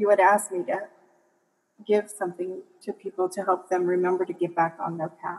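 A woman with an American accent, her pitch in the medium range. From Michigan, US Midwest. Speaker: massage therapist and health coach. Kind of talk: interview conversation.

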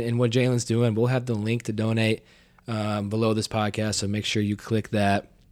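Speaking at a fairly quick pace, a man uses fairly even intonation at a medium pitch. He has an unremarkable speaking voice. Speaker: podcast host. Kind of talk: casual conversation.

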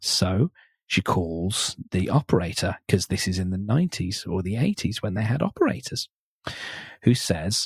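Over a very clean recording with a silent background, a man speaks at a moderate pace in a very deep, low, somewhat breathy voice with ordinary pitch variation. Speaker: podcast host. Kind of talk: casual chat. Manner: informal, laughs often.

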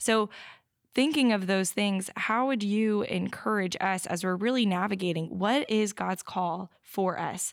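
A woman with an ordinary speaking voice, medium pitch and ordinary pitch variation at a fairly slow pace, in a very clean recording against a silent background. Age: 20s. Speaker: ministry intern. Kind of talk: interview.

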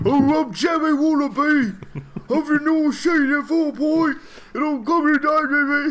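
A put-on character voice with a British accent is pitched high and moves at a moderate pace. Light background noise sits behind it. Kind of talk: slangy, uncouth. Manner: mocking.

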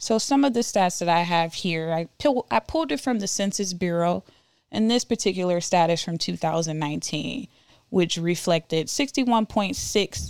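A woman speaks at a moderate pace with a fairly low pitch and lively intonation, in a plain, everyday voice, on a very clean recording with a silent background. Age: 20s. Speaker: podcast host. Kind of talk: solo monologue podcast.

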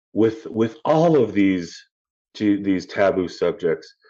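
With a Chicago accent, a man speaks at a very slow pace. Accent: Chicago American. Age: 40s. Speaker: suicide awareness advocate. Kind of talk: casual interview.

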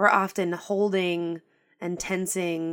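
A woman with an unremarkable speaking voice talks at a fairly slow pace and medium pitch with ordinary pitch variation, on a very clean recording with a silent background. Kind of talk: guided meditation. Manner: slow, soothing and gentle, with calm, unhurried pacing; soft-spoken and inviting, with a warm tone.

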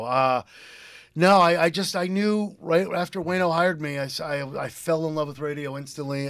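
In an ordinary speaking voice, a man with an American accent talks at a fairly quick pace with ordinary pitch variation, captured in a very clean recording with a silent background. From eastern Connecticut, US. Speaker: radio DJ. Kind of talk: casual radio interview.

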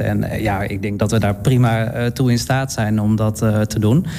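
Medium-pitched male voice amid noticeable background noise. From Netherlands, Utrecht. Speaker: event organiser and drag performer. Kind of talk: radio interview. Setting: studio. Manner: hesitant, many fillers.

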